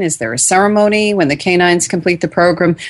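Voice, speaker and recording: A woman's plain, everyday voice at medium pitch and a fairly quick pace. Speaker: radio host. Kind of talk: radio host patter, show intro after break. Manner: polished, welcoming, clear and measured.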